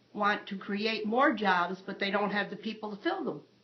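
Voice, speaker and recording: A woman at a medium pitch, a fairly slow pace, and noticeable background noise. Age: 70s. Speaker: retiree interviewee. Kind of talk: interview answer.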